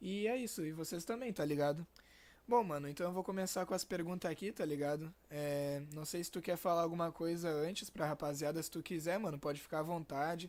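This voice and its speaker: A man's high-pitched voice at a fairly quick pace, with ordinary pitch variation. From Rio Grande do Sul, Brazil. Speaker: podcast host. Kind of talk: casual podcast chat. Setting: video call with webcam.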